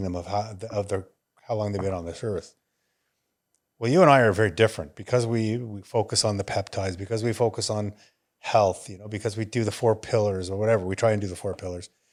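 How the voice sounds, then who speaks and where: Fairly low-pitched and fairly even in intonation, a man with an unremarkable speaking voice talks at a fairly quick pace in a very clean recording with a silent background. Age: 60s. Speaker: wellness podcast co-host. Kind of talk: casual chat.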